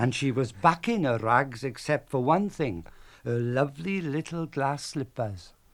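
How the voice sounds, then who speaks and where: A man talks with very wide pitch swings in a south Wales Valleys accent. The recording is very clean, with a silent background. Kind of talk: storytelling on radio. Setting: radio broadcast.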